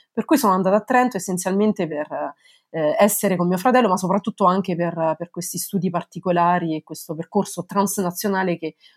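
A woman with a fairly low pitch and ordinary pitch variation talks at a fairly quick pace. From Italy, Lazio (province of Frosinone, near Cassino). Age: 30s. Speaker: legal historian, researcher. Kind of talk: interview. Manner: halting, with many repetitions.

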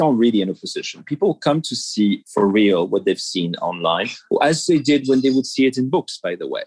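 Speaking with a French accent, a man keeps a moderate pace. The sound is dry and close, with no echo. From France. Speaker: museum executive. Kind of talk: interview. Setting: cafe.

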